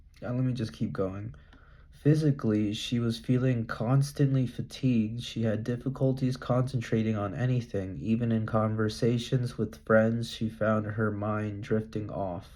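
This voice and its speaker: Through noticeable background noise, a man talks at a moderate pace with ordinary pitch variation. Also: medium pitch for a man. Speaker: vlogger. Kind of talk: reading aloud with commentary. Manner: halting.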